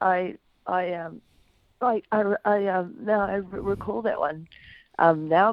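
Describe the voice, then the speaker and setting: She is a woman with a New Zealand accent. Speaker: former footballer, pundit. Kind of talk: casual radio interview.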